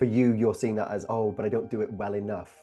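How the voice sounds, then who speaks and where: A man speaks very fast with a Welsh accent. His pitch is fairly low and his tone dark and mellow. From Wales. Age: 30s. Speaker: guest, coach on belonging. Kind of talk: interview conversation.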